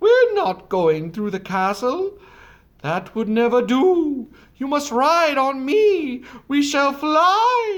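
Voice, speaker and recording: Someone uses a high-pitched, put-on character voice with very wide pitch swings and a very slow pace. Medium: read story. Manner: brisk, hooting.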